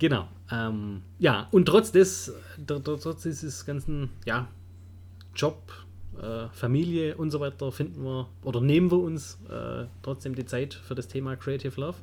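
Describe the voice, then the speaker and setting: At a fairly slow pace, a man speaks in a somewhat breathy voice at a medium pitch. His pitch swings very wide. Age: 30s. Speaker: wedding photographer, podcast co-host. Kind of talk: casual chat.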